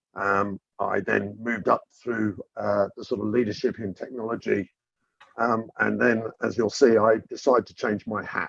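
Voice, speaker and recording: A man speaks at a moderate pace with a British accent. His loudness swings widely, and the sound is dry and close with no echo. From UK. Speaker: government chief data officer. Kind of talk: interview. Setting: live webinar.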